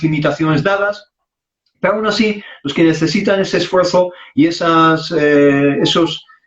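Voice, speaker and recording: A man is speaking. He has an Arabic accent. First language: Arabic (speaking Spanish). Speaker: Islamic preacher. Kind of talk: interview conversation.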